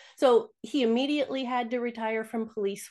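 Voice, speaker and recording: With fairly even intonation, a woman keeps up a fairly quick pace. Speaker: retired kindergarten teacher, toxin reduction advocate. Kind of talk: interview conversation. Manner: kindergarten-teacher voice.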